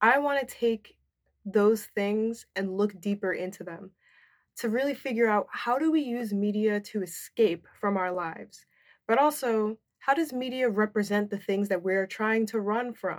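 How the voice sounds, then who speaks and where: A woman with a plain, everyday voice speaks at a fairly high pitch and a fairly slow pace, with ordinary pitch variation. The recording is very clean, with a silent background. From New Jersey suburbs. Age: 20s. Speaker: podcast host. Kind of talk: casual monologue. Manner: casual, filler-heavy.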